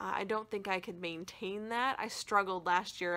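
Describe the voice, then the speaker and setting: On a very clean recording with a silent background, a woman with an American accent speaks at a moderate pace in a bright, sharp tone with fairly even intonation. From Michigan. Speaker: crafting YouTuber. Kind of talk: casual chat. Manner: chatty.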